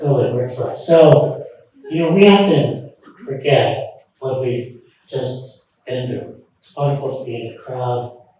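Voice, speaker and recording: A medium-pitched man at a moderate pace, with audible room echo. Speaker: professor and author. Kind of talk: lecture. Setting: stage with audience.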